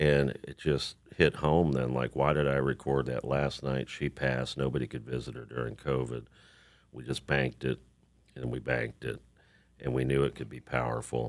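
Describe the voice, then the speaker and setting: A man with an American accent speaks with a very deep, low pitch, vocal fry and monotone, flat intonation. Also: moderate pace. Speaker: singer-songwriter and actor. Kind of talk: casual chat.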